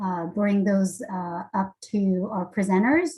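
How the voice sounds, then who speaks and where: A woman's medium-pitched, somewhat breathy voice with ordinary pitch variation. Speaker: webinar facilitator. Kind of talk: webinar moderation. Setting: video call.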